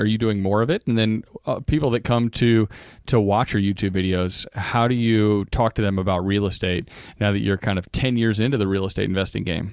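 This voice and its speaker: A man with a normal speaking voice talks at a fairly quick pace in a fairly low pitch, his loudness very even against a quiet background. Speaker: podcast co-host. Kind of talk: casual interview.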